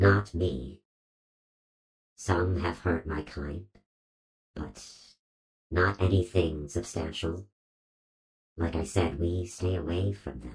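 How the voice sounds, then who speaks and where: A put-on character voice at a fairly slow pace, full of long, frequent pauses and very wide pitch swings. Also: man, very deep, low pitch for a man. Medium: actual play. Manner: slow, terse, formal.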